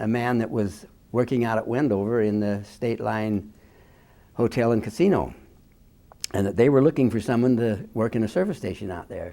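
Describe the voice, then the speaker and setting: With an American accent, a man speaks in a medium pitch with a dark, mellow tone. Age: 80s+. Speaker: war veteran. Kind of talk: oral history interview. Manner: halting.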